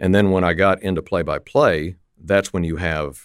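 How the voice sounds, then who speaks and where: On a very clean recording with a silent background, a man with an American accent and a very deep, low pitch speaks at a moderate pace with ordinary pitch variation. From West Texas, Lubbock. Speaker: radio play-by-play announcer. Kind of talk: interview. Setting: studio. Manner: loose, relaxed.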